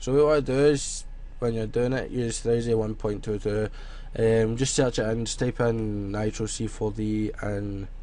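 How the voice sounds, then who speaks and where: A man with a Scottish accent speaks at medium pitch in a dark, mellow tone, with fairly even intonation. His pace is fairly slow, and room echo is audible. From Scotland. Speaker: graphic design tutorial youtuber. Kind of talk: tutorial. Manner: casual, filler-heavy.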